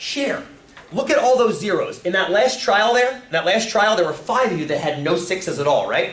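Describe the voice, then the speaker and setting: A man speaks in an animated tone with very wide pitch swings. Noticeable background noise and audible room echo surround him. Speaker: teacher. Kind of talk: classroom lecture. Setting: classroom with students.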